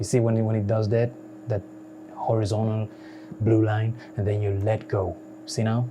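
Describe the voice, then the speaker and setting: Amid noticeable background noise, a man with a fairly low pitch speaks at a moderate pace in a monotone, flat intonation, with very even loudness and long, frequent pauses. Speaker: software tutorial youtuber. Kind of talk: tutorial. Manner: casual, repetitive with many fillers; unedited, conversational.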